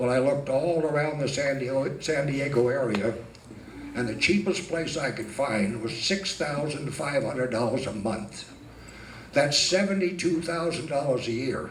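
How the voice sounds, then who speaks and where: A man with an American accent and a fairly high pitch, amid noticeable background noise and audible room echo. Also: ordinary pitch variation, moderate pace. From Northern California. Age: 70s. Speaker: amateur stand-up comedian. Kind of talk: stand-up. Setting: stage with audience.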